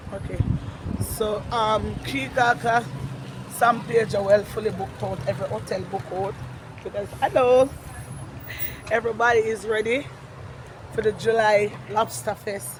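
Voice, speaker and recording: A woman's fairly high voice with a Jamaican accent, lively intonation and long, frequent pauses, over noticeable background noise. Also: moderate pace. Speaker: vlogger. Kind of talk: casual vlog walkabout. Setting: outdoors.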